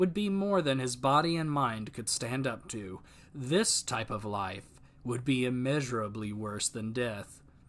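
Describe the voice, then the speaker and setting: This man has an unremarkable speaking voice of medium pitch and lively intonation. He goes at a fairly slow pace against a quiet background. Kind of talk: audiobook narration.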